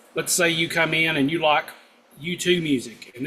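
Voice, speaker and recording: A fairly high-pitched male voice is heard. It rises and falls to an ordinary degree. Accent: strong Southern US. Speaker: guitar instructor. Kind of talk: live stream chat. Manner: casual, hesitant with fillers.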